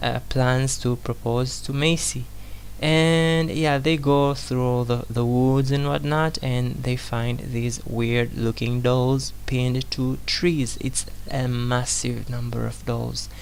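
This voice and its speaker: Someone with a non-native accent speaks at a very slow pace. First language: not English. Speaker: movie reviewer. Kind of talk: casual film review commentary. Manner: hesitant, many fillers.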